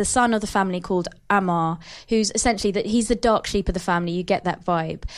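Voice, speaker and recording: Against a quiet background, a woman with an ordinary speaking voice talks at a fairly quick pace, her medium pitch showing ordinary variation. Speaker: podcast host. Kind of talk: casual chat about TV. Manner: playful, quick banter.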